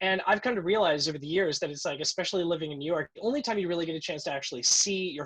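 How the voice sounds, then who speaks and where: Very fast male voice in an American accent, energetic in tone with lively intonation. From central Florida. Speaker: kettlebell athlete. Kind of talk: casual chat.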